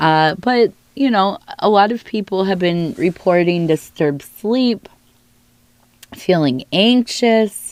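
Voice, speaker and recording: A woman with an American accent speaks at a very slow pace with lively intonation and long, frequent pauses. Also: medium pitch for a woman. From Northern California. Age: 70s. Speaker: tea leaf reader. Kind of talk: divination reading.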